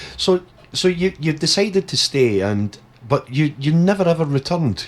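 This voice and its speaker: With a plain, everyday voice, a man talks at a moderate pace, his fairly high pitch carried by lively intonation. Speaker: radio presenter. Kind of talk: radio interview host.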